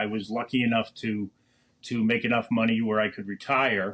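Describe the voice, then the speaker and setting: A man speaking in an American accent goes along at a fairly quick clip, with the background quiet. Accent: Boston accent, comes out occasionally. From Boston, Massachusetts (East Boston, Winthrop). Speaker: podcast co-host, cigar shop worker. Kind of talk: casual chat. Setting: home mini studio.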